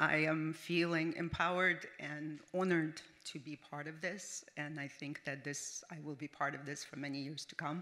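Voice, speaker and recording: A woman with a non-native accent speaks at a moderate pace with hardly any pauses, her pitch very deep and low. Her tone is bright and sharp, her intonation flat and monotone, and her loudness swings widely. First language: not English. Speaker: business founder. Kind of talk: award acceptance speech. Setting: stage with audience. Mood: earnest, heartfelt. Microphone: podium.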